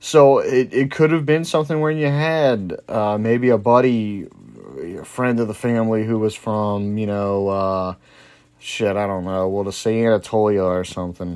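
In a very clean recording with a silent background, a man with an American accent speaks at a moderate pace, his fairly low pitch showing ordinary variation. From New Orleans, Louisiana. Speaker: history podcast host. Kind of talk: casual solo talk. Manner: casual, frequent fillers and restarts.

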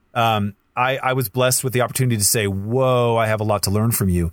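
Very cleanly recorded against a silent background, a man speaks at a fairly quick pace. His pitch is medium, with ordinary pitch variation. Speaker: youth ministry leader. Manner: direct.

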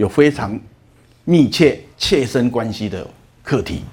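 A man speaks at a medium pitch. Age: 60s. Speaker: lecturer on emotional management. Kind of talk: lecture. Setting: lecture hall with audience.

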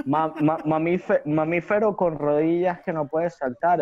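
Speaking at a very slow pace, a man with a Venezuelan accent has a fairly high pitch. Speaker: rapper. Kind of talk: casual chat.

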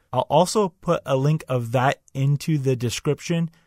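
A man with a fairly high pitch and lively intonation sounds somewhat breathy. The recording is very clean, with a silent background and a dry, close sound with no echo. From Canada. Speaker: wrestling podcast host. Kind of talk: podcast monologue with match play-by-play.

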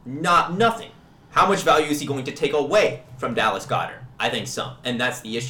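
Fairly quick, fairly high-pitched speech from a man with an American accent, with audible room echo and noticeable background noise. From US Midwest, Kansas City. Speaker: fantasy football podcast co-host. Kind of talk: casual chat.

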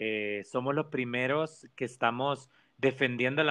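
Talking at a very slow pace, a medium-pitched man with a Salvadoran accent shows ordinary pitch variation. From El Salvador. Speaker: organizational communication professional. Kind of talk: casual interview.

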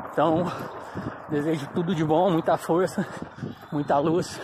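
A man's high, monotone voice with flat intonation and very even loudness, at a fairly slow pace with long, frequent pauses, over noticeable background noise. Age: 30s. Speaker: amateur runner. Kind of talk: motivational monologue. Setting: outdoors.

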